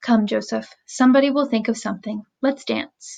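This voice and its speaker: A woman's raspy, put-on character voice, fairly high in pitch, at a moderate pace. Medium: read story.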